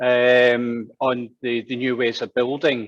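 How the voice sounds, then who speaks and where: The sound is dry and close, with no echo. A man speaks at a medium pitch in a Glaswegian accent. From Scotland, Glasgow. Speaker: town planner. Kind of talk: presentation. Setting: online event.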